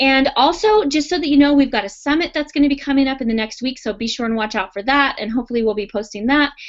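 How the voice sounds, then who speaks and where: A woman speaks in a high voice with lively intonation. She goes at a very fast pace with hardly any pauses. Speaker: virtual assistant business coach. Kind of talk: webinar class with live Q&A. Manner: animated.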